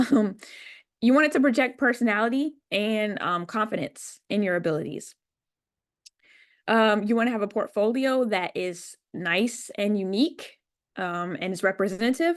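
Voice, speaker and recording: An unremarkable speaking voice from a woman, fairly high in pitch, with lively intonation at a moderate pace against a quiet background. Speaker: web development company founder, speaker. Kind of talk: presentation talk.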